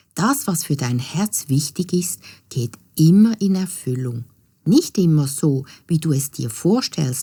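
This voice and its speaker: A woman with a dark, mellow tone and a very deep, low pitch speaks somewhat breathily at a fairly slow pace, on a very clean recording with a silent background. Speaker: storyteller. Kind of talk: children's fairy tale narration.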